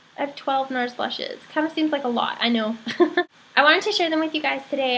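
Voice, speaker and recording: The pitch rises and falls in an ordinary way over noticeable background noise. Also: woman. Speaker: beauty vlogger. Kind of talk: product review vlog. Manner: casual, with frequent fillers.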